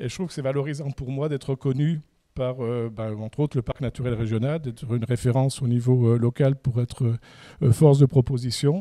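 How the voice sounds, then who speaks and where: Recorded dry and close with no echo on a very clean track with a silent background, a man talks at a fairly quick pace in a dark, mellow tone with fairly even intonation. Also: medium pitch for a man. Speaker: landscaper and nursery owner. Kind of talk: conference talk. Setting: conference. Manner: halting, many fillers.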